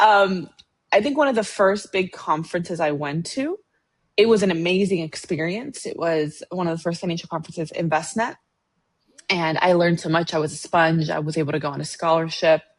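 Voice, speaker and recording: Speaking at a fairly quick pace, a woman has a normal speaking voice with fairly low pitch and ordinary pitch variation. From Latin American immigrant, raised in the US. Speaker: financial planner. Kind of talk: podcast interview.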